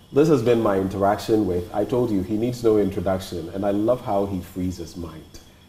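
Audible room echo surrounds a man speaking at a fairly quick pace with hardly any pauses. His voice is fairly low, with ordinary pitch variation. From Ghana. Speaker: TV interviewer. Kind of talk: interview. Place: home room.

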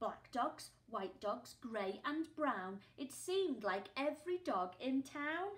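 A woman's high, warm, gentle, sing-song voice, very slow, with very wide pitch swings. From England. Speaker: primary school teacher. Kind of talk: children's storybook reading, playful rhyming read-aloud. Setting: video lesson recorded for home learning. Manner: animated, sing-song, expressive; warm, gentle, interactive with pauses for questions. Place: home room. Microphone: phone near.

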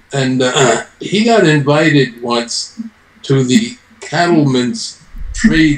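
A man's fairly high voice at a very slow pace, with very wide pitch swings and audible room echo. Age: 70s. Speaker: retired bodybuilder. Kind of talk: interview answer. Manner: hesitant, conversational. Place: office. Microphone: video call.

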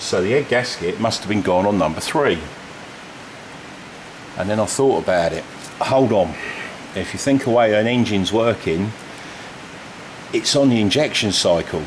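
The voice has ordinary pitch variation and long, frequent pauses over light background noise. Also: man, fairly low pitch for a man, moderate pace. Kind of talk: tutorial explanation. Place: garage. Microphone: phone near.

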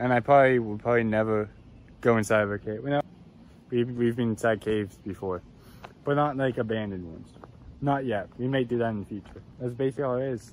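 A man talks at a very fast pace with fairly even intonation. The sound is dry with no echo, over light background noise. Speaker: explorer vlogger. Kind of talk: casual vlog chat. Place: forest. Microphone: phone near.

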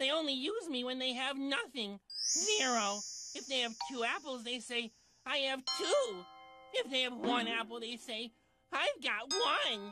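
Cartoonish character voice, female-sounding and high-pitched, at a moderate pace with music in the background. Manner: dejected, hesitant, then cheerful.

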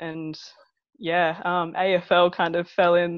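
Against a quiet background with a dry sound and no echo, a woman speaks at a fairly low pitch with an Australian accent. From Wagga Wagga, New South Wales, Australia. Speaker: professional football goalkeeper. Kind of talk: podcast interview answer. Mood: relaxed, friendly. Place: home room. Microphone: earbuds.

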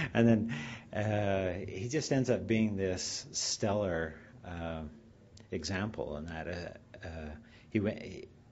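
Speaking at a fairly slow pace, this man sounds somewhat breathy. His pitch is fairly low. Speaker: speaker. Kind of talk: speaker introduction. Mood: warm, lightly humorous. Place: hall. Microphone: podium.

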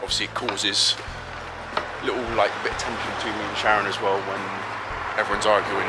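A man speaks at a fairly quick pace with music in the background. The sound is dry, with no echo. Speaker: family vlogger. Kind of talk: casual vlog chat. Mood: relaxed, a bit subdued. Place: street. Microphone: phone near.

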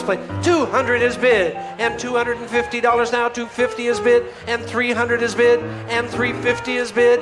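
Clear music plays in the background behind a man whose pitch is extremely high. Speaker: live benefit auctioneer. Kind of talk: rapid auctioneer bid calling. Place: hall. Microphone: pa.

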